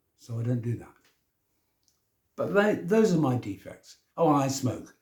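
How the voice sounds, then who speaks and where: Very wide pitch swings run through a man's somewhat breathy, medium-pitched voice with a dark, mellow tone. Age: 70s. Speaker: self-help vlogger. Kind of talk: casual monologue. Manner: informal, conversational.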